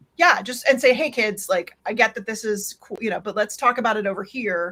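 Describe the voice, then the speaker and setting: Her tone bright and sharp, a woman talks at a fairly quick pace with a fairly high pitch and ordinary pitch variation. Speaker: Slack consultant presenter. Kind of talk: Q&A after presentation. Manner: fast.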